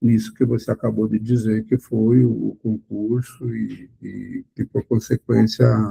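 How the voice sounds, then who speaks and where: A man's fairly slow speech, dry and close-sounding with no echo. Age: 60s. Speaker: blind accessibility advocate. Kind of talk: podcast interview.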